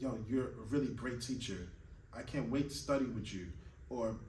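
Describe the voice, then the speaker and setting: Moderate-paced speech with noticeable background noise and audible room echo. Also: man. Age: 30s. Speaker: classical pianist and piano teacher. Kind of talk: motivational monologue to camera. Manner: earnest, emphatic.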